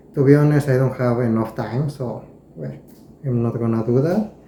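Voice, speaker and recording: A medium-pitched man with a Spanish accent at a moderate pace, over noticeable background noise. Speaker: knife collector, video creator. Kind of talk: casual show-and-tell tutorial. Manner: halting, with hesitations and repeated words.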